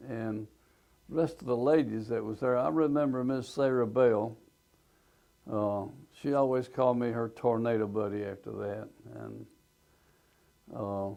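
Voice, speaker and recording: With an Alabama accent, a man talks at a medium pitch and a moderate pace, his dark, mellow tone showing ordinary pitch variation and long, frequent pauses. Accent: Alabama Southern US. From US South. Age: 80s+. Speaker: business owner. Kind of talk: personal testimony.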